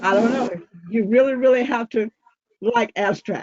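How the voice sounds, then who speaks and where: Pitched fairly high, a woman with an American accent talks with ordinary pitch variation. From Virginia, Roanoke. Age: 70s. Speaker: amateur abstract painter. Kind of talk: casual group discussion.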